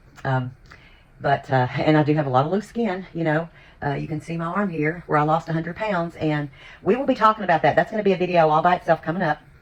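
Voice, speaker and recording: Someone with an American accent talks at a very fast pace over noticeable background noise. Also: woman, fairly low pitch for a woman, ordinary pitch variation. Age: 60s. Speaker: lifestyle vlogger. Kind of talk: casual vlog chat.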